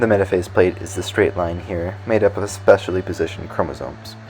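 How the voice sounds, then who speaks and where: A man talks fairly quickly in a very deep, low pitch while music plays in the background. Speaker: science educator. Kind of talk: educational science explainer.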